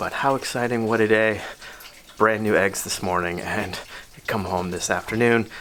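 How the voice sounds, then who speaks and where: Quiet and fairly low-pitched, a man speaks with fairly even intonation and long, frequent pauses amid noticeable background noise. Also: moderate pace. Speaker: tortoise keeper and video creator. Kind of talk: casual video diary tutorial.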